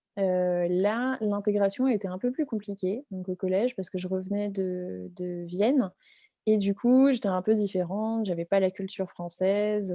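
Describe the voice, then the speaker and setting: In a dry, close sound with no echo, a woman speaks with a dark, mellow tone at a medium pitch and with fairly even intonation. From France. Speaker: entrepreneur. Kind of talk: interview. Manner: halting, many fillers.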